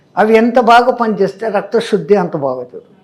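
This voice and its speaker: Here a man speaks with a high pitch. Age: 80s+. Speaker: yoga and breathing teacher. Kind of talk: interview. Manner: explanatory.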